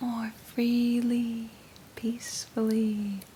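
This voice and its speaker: The tone is calm and the pace very slow. Noticeable background noise runs underneath. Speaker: ASMR artist. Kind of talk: guided meditation. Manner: slow, calm.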